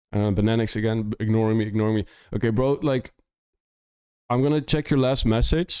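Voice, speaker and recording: A man with a slight Dutch accent and a dark, mellow tone, at a medium pitch with ordinary pitch variation, a fairly quick pace, long, frequent pauses and very even loudness. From Netherlands. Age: 30s. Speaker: music producer and streamer. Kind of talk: casual livestream chat. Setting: live stream.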